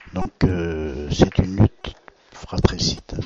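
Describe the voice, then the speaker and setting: Soft-spoken, a man talks with ordinary pitch variation. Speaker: billiards commentator. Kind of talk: live commentary.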